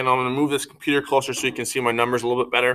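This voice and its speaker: Bright and sharp in tone, a man's voice at medium pitch races along at a very fast pace with monotone, flat intonation. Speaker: schoolteacher. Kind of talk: video lesson for pupils. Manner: hesitant with fillers.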